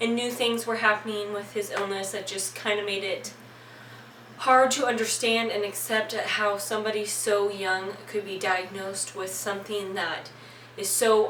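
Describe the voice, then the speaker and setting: With noticeable background noise behind her, a woman speaks at a fairly slow pace in a fairly high voice with fairly even intonation. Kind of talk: casual talk to camera. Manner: voice shaking in places.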